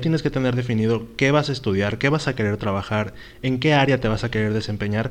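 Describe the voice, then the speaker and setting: A man with an ordinary speaking voice talks at a medium pitch with ordinary pitch variation. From Mexico. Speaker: podcast co-host. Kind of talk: casual chat.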